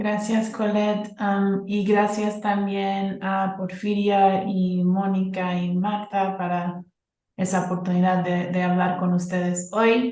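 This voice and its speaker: A woman with a non-native accent speaks at a very slow pace, her tone dark and mellow and her intonation monotone and flat. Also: medium pitch for a woman. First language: not Spanish (speaking Spanish). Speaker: university researcher. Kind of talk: academic presentation.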